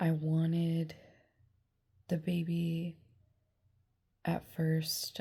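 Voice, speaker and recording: A woman's fairly low, somewhat breathy voice at a very slow pace, with monotone, flat intonation. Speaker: vlogger. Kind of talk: personal testimony vlog. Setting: lying in bed. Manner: halting.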